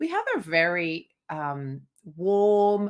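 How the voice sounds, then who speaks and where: A woman with a strong Australian accent. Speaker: singer and podcast co-host. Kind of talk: casual chat.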